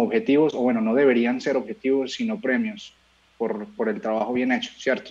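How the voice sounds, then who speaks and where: A man talks in an ordinary speaking voice. His pace is moderate, and his intonation is lively. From Colombia, Medellín. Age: 20s. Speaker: singer-songwriter. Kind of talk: interview.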